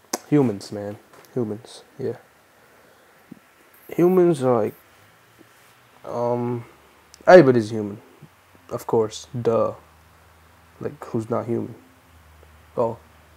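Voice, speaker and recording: At a fairly slow pace with long, frequent pauses, a man speaks at a medium pitch that varies in an ordinary way. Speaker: youtuber. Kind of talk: casual monologue. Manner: halting.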